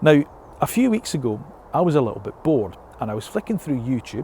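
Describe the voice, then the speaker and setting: This is a man speaking with a Scottish accent. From Scotland. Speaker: motoring journalist. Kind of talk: casual talk to camera.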